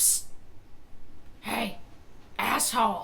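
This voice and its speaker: A woman speaks in a put-on character voice. Her pitch is very deep and low. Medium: stage. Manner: squawking, repetitive.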